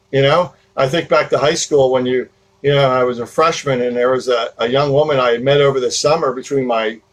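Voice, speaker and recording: Fairly quick speech in a New Jersey accent. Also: man. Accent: New Jersey American. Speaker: podcast host. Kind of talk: casual talk. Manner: rambling with many fillers.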